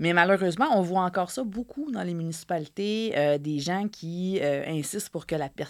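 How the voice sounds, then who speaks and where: The recording is very clean, with a silent background. The speaker has a Quebec accent, ordinary pitch variation and a fairly quick pace. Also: woman. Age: 30s. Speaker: journalist and author. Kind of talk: interview.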